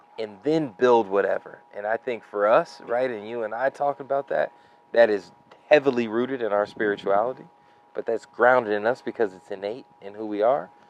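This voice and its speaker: The pace is moderate, and the sound is dry and close with no echo. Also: man. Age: 30s. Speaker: venture capitalist and entrepreneur. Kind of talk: casual interview conversation.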